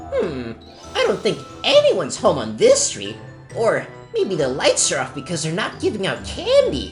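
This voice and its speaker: Clear music plays behind a man doing a cartoonish character voice at a moderate pace. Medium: puppet show. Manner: calm, reassuring.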